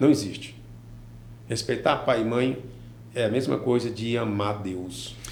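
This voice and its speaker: A man at a fairly slow pace, with long, frequent pauses, ordinary pitch variation and audible room echo. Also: medium pitch for a man. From Brazil, Piauí (Teresina area), born in Ceará. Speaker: businessman and former teacher. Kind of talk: interview.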